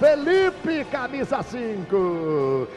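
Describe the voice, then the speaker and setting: A man speaks over noticeable background noise. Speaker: radio sports announcer. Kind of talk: live radio football commentary.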